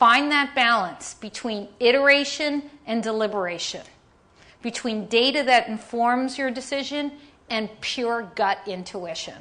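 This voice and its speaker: In a New York accent, a woman talks with an animated, bright, sharp tone at a fairly high pitch, with ordinary pitch variation and a fairly slow pace. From New York, Staten Island. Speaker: design leader and keynote speaker. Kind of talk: keynote presentation. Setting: conference stage with audience.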